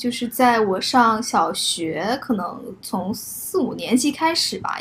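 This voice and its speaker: This is a plain, everyday voice. A woman speaks at a fairly high pitch with ordinary pitch variation. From Zhuhai, southern China. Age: late 20s. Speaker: podcast co-host. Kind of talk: casual chat. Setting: living room at home.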